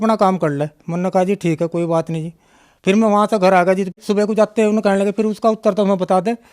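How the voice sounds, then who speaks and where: The sound is dry and close with no echo, and the intonation stays fairly even. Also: man. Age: 60s. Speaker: devotee giving testimony. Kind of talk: testimony. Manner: halting, with many fillers.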